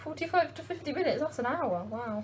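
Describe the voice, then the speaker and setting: A woman is the speaker. Her words come in an English accent. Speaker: home baking vlogger. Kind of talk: casual vlog. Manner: fast.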